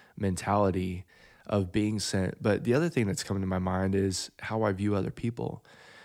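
A man with an ordinary speaking voice and fairly low pitch talks at a moderate pace in a very clean recording with a silent background. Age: 30s. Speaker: podcast host. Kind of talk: casual chat. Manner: joking.

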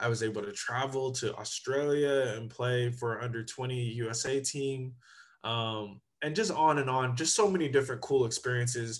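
A man speaks with an American accent at a moderate pace, in a medium pitch with ordinary pitch variation. It is an unremarkable speaking voice. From Sacramento, Northern California. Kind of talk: interview.

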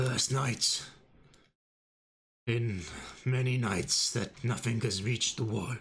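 A man does a put-on character voice, raspy and medium in pitch, with fairly even intonation. He goes at a fairly slow pace with long, frequent pauses. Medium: actual play.

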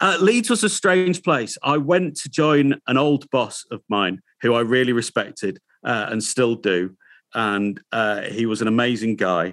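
This man has a Yorkshire accent and a medium-pitched voice with lively intonation. He talks at a fairly slow pace, and the sound is dry and close with no echo. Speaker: radio presenter. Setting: video call.

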